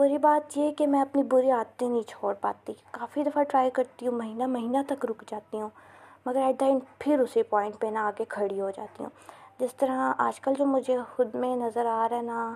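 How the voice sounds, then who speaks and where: This woman has a high pitch and a dark, mellow tone. Her intonation stays fairly even. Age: 20s. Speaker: university student podcaster. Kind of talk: casual monologue. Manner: halting.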